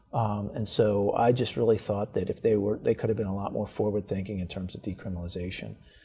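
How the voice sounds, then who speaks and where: A man with an American accent talks at a very fast pace with hardly any pauses. His voice is somewhat breathy, with a dark, mellow tone and fairly even intonation. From Baltimore, Maryland, US. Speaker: state's attorney. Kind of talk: interview. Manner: repetitive, hesitant with fillers.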